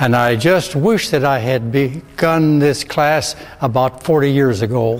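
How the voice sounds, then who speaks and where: Noticeable background noise sits behind a man speaking at a moderate pace, his medium pitch moving with ordinary variation. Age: 80s+. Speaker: yoga student. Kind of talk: testimony.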